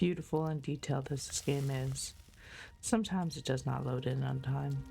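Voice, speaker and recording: Music plays in the background. A soft-spoken voice talks at a fairly quick pace. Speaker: streamer. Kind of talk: sleep gameplay commentary.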